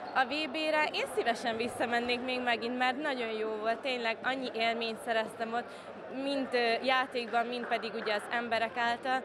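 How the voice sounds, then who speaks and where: Over noticeable background noise, a woman with a high pitch speaks at a moderate pace with fairly even intonation. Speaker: footvolley player. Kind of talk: post-match interview. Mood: happy, smiling. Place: hall. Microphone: handheld.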